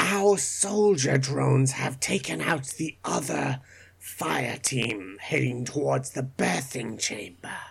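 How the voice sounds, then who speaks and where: Raspy and in a low-to-middle pitch, this put-on character voice moves at a fairly slow pace. The delivery stays in that character throughout. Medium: actual play. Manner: formal, measured.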